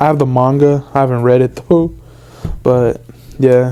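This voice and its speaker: The speaker mumbles at a moderate pace. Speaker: trading card collector. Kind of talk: casual talk to camera. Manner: mumbling.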